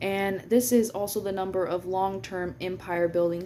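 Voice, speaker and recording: Dark and mellow in tone, a woman speaks at a moderate pace and medium pitch with fairly even intonation. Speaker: astrology and energy reader. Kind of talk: casual astrology reading monologue. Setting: at work. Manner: hesitant, many fillers.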